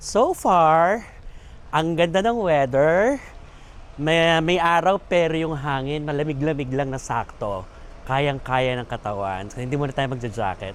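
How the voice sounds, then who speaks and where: With lively intonation, a man speaks at a fairly slow pace with a fairly high pitch. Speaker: vlogger and comedian. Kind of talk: travel vlog. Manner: animated.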